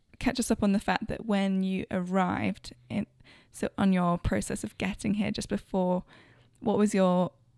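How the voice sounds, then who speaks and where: In a London accent, a woman speaks at medium pitch with monotone, flat intonation, her sound dry and close with no echo. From London, England. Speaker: interviewer and friend of host. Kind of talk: casual interview chat.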